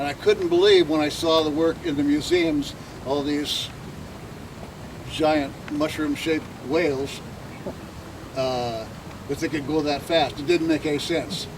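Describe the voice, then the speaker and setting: With noticeable background noise, a man at a fairly high pitch talks in fairly even intonation, leaving long, frequent pauses. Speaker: artist. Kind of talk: talk to audience. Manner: loud; halting.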